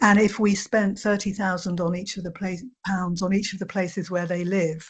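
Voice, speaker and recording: A woman speaks at a moderate pace with a fairly low pitch and a somewhat breathy sound. Her intonation is monotone and flat, against a quiet background. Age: 60s. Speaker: charity chief executive. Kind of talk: webinar presentation. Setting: online webinar. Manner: hesitant with fillers.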